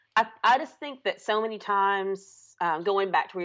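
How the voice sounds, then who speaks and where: Her voice at medium pitch, a woman speaks with a Southern US accent. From US South (Alabama). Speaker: teacher. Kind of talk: casual chat.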